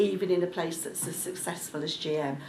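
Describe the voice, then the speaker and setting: A woman speaks with a Birmingham accent at a moderate pace and fairly even intonation. Audible room echo and noticeable background noise surround her. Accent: Birmingham (Brummie). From Birmingham, England. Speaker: local government executive, panel speaker. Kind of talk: panel discussion speech. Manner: hesitant, with frequent ums.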